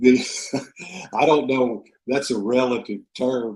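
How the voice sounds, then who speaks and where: A man with a Texan accent speaks at a fairly slow pace in a medium-pitched, monotone, flat voice. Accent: Texan American English. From Texas. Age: 70s. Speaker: author. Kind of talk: interview. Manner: halting, many fillers and repeats.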